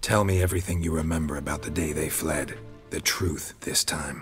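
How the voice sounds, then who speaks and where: Over clear music in the background, a raspy put-on character voice moves at a moderate pace. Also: man, very deep, low pitch for a man. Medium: video game. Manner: clipped, dry, deadpan.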